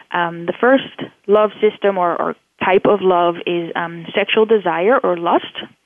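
A woman at a medium pitch with a Dutch accent and fairly even intonation. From Netherlands. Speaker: professor and neuroscientist. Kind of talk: interview. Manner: halting, frequent fillers.

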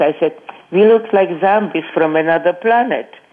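Noticeable background noise accompanies a woman speaking at a moderate pace, her fairly low voice showing ordinary pitch variation. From Czechoslovakia. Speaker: Holocaust survivor. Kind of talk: interview testimony. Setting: phone call.

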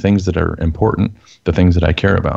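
A man's very deep, low voice in a Texan accent. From Texas. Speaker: former prisoner, enneagram teacher. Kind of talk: interview testimony.

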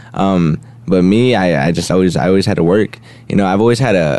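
Through noticeable background noise, a man with a very deep, low pitch talks at a fairly quick pace. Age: young. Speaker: recent high school graduate athlete. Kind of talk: radio interview. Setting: studio. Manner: halting, many fillers.

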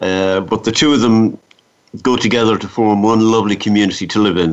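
The delivery moves along fairly quickly. It carries an Irish accent. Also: man. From Ireland, midlands. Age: 50s. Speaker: cancer survivor. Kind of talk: interview.

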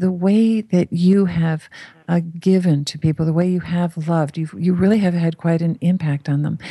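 A woman's voice comes across as somewhat breathy. Her intonation stays fairly even. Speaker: radio show host and channeler. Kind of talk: talk radio interview and channeling session. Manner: voice shifts in channeling mode.

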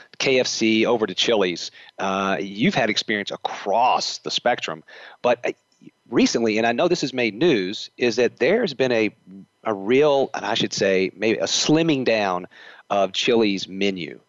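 A man speaks with a Southern accent. His pace is fairly slow. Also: medium pitch for a man, ordinary pitch variation. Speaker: podcast host. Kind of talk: interview. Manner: hesitant, with fillers.

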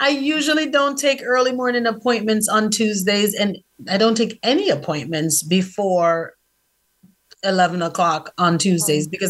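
A woman with a normal speaking voice talks at a moderate pace, her intonation lively. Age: 40s. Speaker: author and publishing coach. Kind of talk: casual chat.

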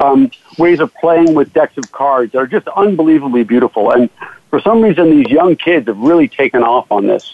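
This man has an unremarkable speaking voice with a fairly high pitch. He talks at a fairly quick pace. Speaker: magician and actor. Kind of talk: casual interview chat.

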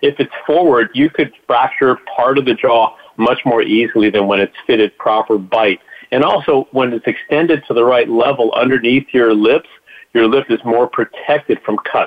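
This is a man with an ordinary speaking voice at medium pitch, talking at a moderate pace. His loudness stays very even, and his pitch varies an ordinary amount. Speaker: doctor/dentist giving health update. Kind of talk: radio update.

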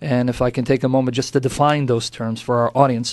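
In an American accent, a man talks fairly quickly at a medium pitch. He has a plain, everyday voice. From United States. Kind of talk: radio interview.

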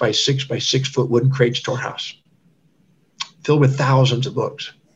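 A somewhat breathy man with an American accent. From Texas. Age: 60s. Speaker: doctor and author. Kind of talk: interview.

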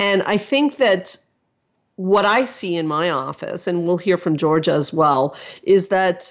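Speaking at a fairly slow pace, a woman uses lively intonation at a medium pitch. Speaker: therapist. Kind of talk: podcast monologue. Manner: serious.

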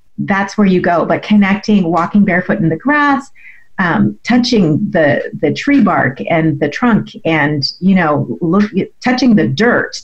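With music in the background, the voice moves at a fairly slow pace, with very wide pitch swings and very even loudness. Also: woman, medium pitch for a woman. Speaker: MS advocate and health coach. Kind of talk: radio interview, conversational personal storytelling. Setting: radio show interview. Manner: conversational, reflective, with filler words.

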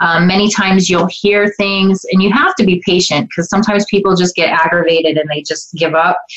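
Against noticeable background noise, a woman speaks at medium pitch with fairly even intonation. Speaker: psychic medium and spiritual coach. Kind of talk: radio interview with live call-ins.

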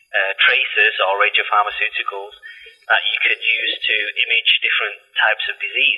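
A man with a Manchester accent, music playing behind him. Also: moderate pace. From northern England, Salford, Manchester. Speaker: medical imaging scientist. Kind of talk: interview.

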